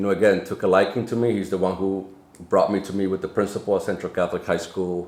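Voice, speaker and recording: A man with a Spanish accent, very deep and low in pitch, at a very fast pace with monotone, flat intonation. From Dominican Republic, then Lawrence, Massachusetts from age 13. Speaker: nonprofit CEO. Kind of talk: podcast interview.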